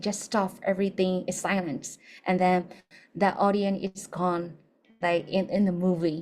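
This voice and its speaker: On a very clean recording with a silent background, a woman speaks at a moderate pace in a medium pitch. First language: not English. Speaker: English teacher. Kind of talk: lecture.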